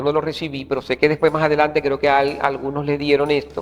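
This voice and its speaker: A man's fairly high voice at a very fast pace, over music in the background. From Venezuela, Maracaibo (Zulia). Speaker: theatre actor and director. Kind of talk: interview. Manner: halting.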